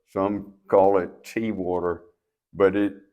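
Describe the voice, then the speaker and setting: With an eastern North Carolina accent, a man speaks in a very deep, low voice. His pace is fairly slow, and the background is quiet. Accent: Southern US (eastern North Carolina). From US South, eastern North Carolina (Trenton, Jones County). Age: 80s+. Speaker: local elder, mill owner. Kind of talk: interview.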